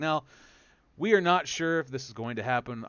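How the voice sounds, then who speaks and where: His pitch fairly high and swinging very widely, a man speaks with an American accent. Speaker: podcast host. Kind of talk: podcast discussion. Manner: animated, profane.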